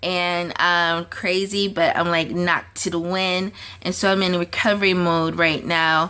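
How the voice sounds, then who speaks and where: Her voice has a bright, sharp tone and sits at a fairly low pitch, moving at a fairly slow pace in a monotone, flat intonation. The woman is recorded very cleanly against a silent background. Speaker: lifestyle coach and artist vlogger. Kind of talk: casual vlog update. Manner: hesitant, many fillers.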